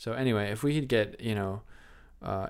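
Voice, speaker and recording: A man speaks at a fairly low pitch. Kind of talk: casual comedic chat. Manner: joking, animated.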